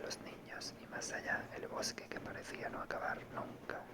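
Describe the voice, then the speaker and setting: Fairly slow whispering amid noticeable background noise. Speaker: audiobook reader. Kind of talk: reading aloud.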